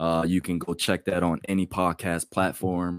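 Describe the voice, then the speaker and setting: A man with an American accent and a very deep, low pitch at a moderate pace, on a very clean recording with a silent background. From Pennsylvania, Delaware County. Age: 30s. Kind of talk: casual chat.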